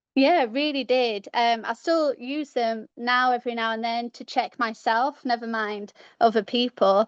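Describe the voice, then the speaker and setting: Over a quiet background, a high-pitched woman speaks at a moderate pace with a British accent. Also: fairly even intonation, dry, close sound with no echo. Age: 30s. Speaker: caller. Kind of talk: casual chat. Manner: halting.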